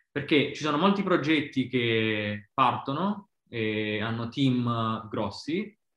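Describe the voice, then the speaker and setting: A man at medium pitch with lively intonation, very slow in pace yet with hardly any pauses. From Basilicata, southern Italy. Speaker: design lead at a bank. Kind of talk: casual interview chat. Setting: video call. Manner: halting, many fillers.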